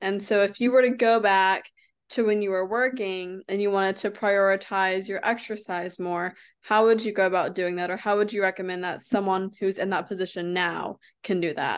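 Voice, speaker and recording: A woman with an American accent uses a plain, everyday voice at medium pitch, fairly even intonation, and a moderate pace over a quiet background. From United States. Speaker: health and wellness coach, podcast host. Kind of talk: interview. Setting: remote call.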